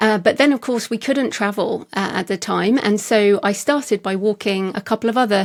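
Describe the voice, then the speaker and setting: With a British accent, a woman talks at a fairly quick pace and a medium pitch. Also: very clean recording, silent background. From England. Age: 50s. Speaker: author. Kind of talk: interview conversation.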